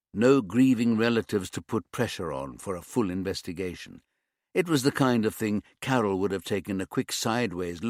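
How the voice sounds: Behind a natural reading voice, the background is quiet.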